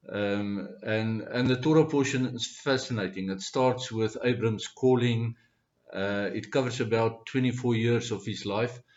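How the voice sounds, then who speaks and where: A man speaks at medium pitch with a South African accent. His pace is fairly slow and his intonation fairly even. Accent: Afrikaans-accented English. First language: Afrikaans. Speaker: Bible study speaker. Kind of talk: informal Bible teaching talk. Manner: halting, many fillers.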